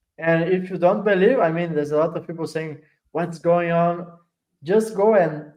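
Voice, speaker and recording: Pitched high, a man talks at a moderate pace with fairly even intonation. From Italy. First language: Italian. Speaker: crypto project adoption lead. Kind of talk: casual interview chat.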